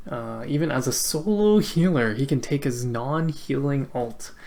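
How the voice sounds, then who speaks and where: The speaker has a slight Canadian accent and a fairly slow pace. The recording is very clean, with a silent background. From Canada. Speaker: esports caster. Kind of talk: live commentary. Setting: live stream. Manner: casual, filler-heavy.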